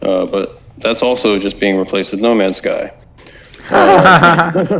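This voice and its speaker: A man with an American accent speaks at a very slow pace in a medium pitch, his pitch swinging very widely, with noticeable background noise. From Arizona, US. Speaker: gaming content creator and base builder. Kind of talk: casual chat. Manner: sounds angry.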